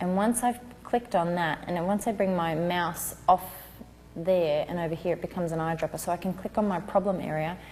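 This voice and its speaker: Soft-spoken and fairly low in pitch, a woman talks at a fairly quick pace with fairly even intonation. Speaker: newborn photographer teaching a class. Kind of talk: tutorial.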